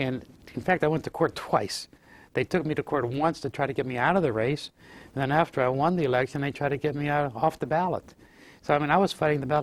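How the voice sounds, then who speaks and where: A man with a Western Pennsylvania accent talks at a very fast pace, his pitch fairly high and his intonation fairly even. The recording is very clean, with a silent background. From Fayette County, Pennsylvania. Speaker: former state legislator. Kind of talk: oral history interview answer.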